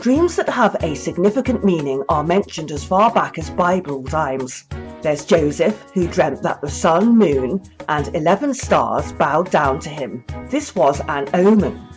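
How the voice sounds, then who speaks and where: A woman talking at a moderate pace with music in the background. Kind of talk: podcast essay narration.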